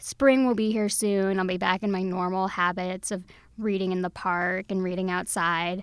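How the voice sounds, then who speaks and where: In an ordinary speaking voice with an American accent, a woman of medium pitch talks at a moderate pace with fairly even intonation on a very clean recording with a silent background. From Texas. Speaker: books editor. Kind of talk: interview. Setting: studio.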